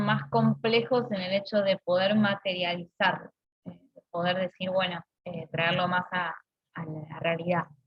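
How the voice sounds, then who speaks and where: A woman's somewhat breathy, medium-pitched voice at a fairly slow pace. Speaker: university lecturer. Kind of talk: online lecture. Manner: halting, many fillers.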